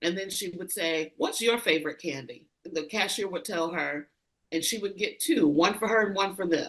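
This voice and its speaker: A woman talks at a moderate pace and medium pitch, with lively intonation. She has an ordinary speaking voice. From rural US. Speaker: leadership consultant. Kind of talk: interview conversation.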